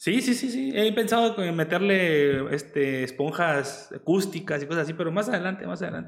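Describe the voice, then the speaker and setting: In a Mexican accent, a man with a high pitch talks at a moderate pace with lively intonation and hardly any pauses. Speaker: streamer hosting interview. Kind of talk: casual chat. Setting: video call livestream.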